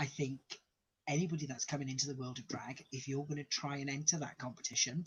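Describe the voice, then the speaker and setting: Somewhat breathy, a man talks at a very fast pace. His intonation stays fairly even. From Wales. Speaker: drag queen. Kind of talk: casual interview chat.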